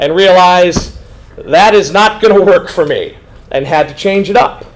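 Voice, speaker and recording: A man talks fairly slowly, his voice high in pitch. His pitch varies in an ordinary way over noticeable background noise. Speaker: high school history teacher. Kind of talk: informational meeting talk to students. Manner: casual, animated.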